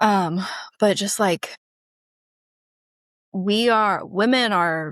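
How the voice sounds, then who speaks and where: Recorded very cleanly against a silent background, dry and close with no echo, a woman speaks in an animated tone with lively intonation. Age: 30s. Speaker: podcast guest. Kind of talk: casual chat.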